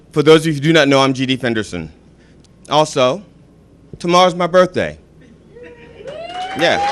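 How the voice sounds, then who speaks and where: A man with a fairly high pitch speaks in an animated tone at a moderate pace, with ordinary pitch variation, long, frequent pauses and noticeable background noise. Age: 50s. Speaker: comedian. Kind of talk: stand-up. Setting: stage with audience.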